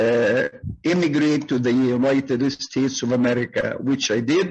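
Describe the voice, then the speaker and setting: Speaking with an Arabic accent, a man keeps a fairly slow pace at a medium pitch with ordinary pitch variation. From Egypt, Cairo. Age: 70s. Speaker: retired migrant, former English lecturer. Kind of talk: oral history interview. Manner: frequent hesitations.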